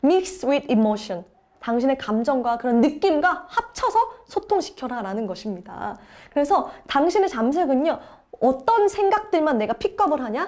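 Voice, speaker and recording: A woman with a high pitch and an animated tone swings her pitch very widely over noticeable background noise. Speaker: book review channel host. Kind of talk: book summary talk. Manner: fast.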